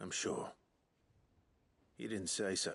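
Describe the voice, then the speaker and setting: Putting on a character voice, a man sounds raspy at a very deep, low pitch. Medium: short film. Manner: gruff.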